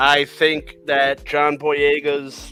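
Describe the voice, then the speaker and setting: Over music in the background, a man talks at a fairly high pitch. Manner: sarcastic, dry.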